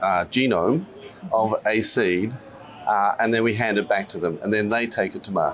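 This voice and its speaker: With an Australian accent, a man talks at a moderate pace and medium pitch, his pitch varying in an ordinary way, while music plays in the background. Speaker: company CEO and scientist. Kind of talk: business interview. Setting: stock exchange floor. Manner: hesitant, many fillers.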